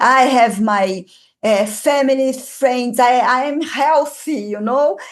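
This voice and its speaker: A woman's fairly high voice in a Brazilian Portuguese accent, very slow, with ordinary pitch variation. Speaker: psychoanalyst. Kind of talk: casual explanatory talk to camera. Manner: halting, with fillers.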